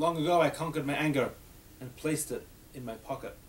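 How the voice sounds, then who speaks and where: This man talks at a very fast pace in an Australian accent. His intonation stays fairly even. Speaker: rabbi teaching a class. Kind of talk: adult education class discussion.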